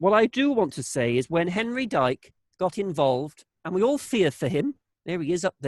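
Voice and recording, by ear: With a quiet background, a natural voice reads the text aloud.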